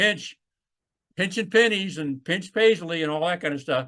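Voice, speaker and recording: Bright and sharp in tone, the voice carries an Alabama accent at a moderate pace. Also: man, quiet background. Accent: Southern US (Alabama). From US South, Alabama. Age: 60s. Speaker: retired naval flight officer. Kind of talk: oral history interview.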